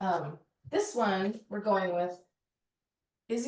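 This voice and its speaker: A woman's somewhat breathy voice, very slow, with lively intonation. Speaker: personal chef and nutritionist. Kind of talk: cooking demonstration.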